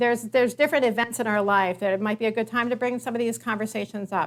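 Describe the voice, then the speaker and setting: A fairly high-pitched woman with ordinary pitch variation on a very clean recording, silent background. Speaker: nurse practitioner and geriatric care manager. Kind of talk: keynote talk. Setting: stage with live and virtual audience. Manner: fast.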